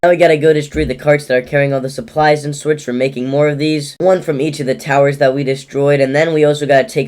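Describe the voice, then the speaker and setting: A man with a fairly high pitch speaks at a very fast pace with fairly even intonation over noticeable background noise. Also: hardly any pauses. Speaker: gaming commentator. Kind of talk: scripted narration.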